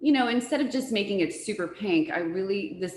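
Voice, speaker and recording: A woman talks in an animated, enthusiastic tone with ordinary pitch variation over noticeable background noise. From born in US to Uruguayan parents, Spanish-speaking home. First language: Spanish. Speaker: floral designer. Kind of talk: presentation interview.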